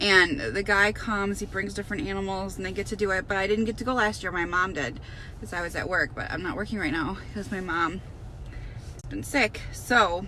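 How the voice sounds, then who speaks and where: With light background noise and a dry sound with no echo, a woman speaks with vocal fry. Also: ordinary pitch variation, fairly quick pace. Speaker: parent vlogger. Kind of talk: casual vlog chat. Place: car. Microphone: phone near.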